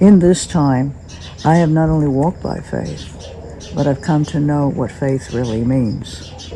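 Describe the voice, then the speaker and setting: A woman with an American accent speaks at a fairly slow pace with a very deep, low pitch and lively intonation. Noticeable background noise is present. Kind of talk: testimony.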